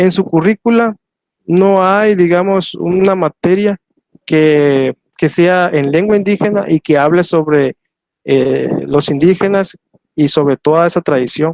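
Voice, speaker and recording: A man talks at a high pitch and a fairly slow pace, with ordinary pitch variation. His loudness stays very even, and the sound is dry and close with no echo. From Soconusco, Chiapas, southern Mexico. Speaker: historian and teacher. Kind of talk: lecture Q&A. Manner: hesitant, many fillers.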